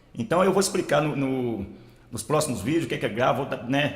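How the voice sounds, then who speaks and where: A man speaks very fast while noticeable noise sounds in the background. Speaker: audio tutorial youtuber. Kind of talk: tutorial. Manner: casual, repetitive filler.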